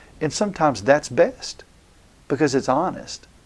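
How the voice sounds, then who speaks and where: Fairly high for a man, his voice moves at a moderate pace with lively intonation. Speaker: singer-songwriter. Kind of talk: interview testimony. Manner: halting.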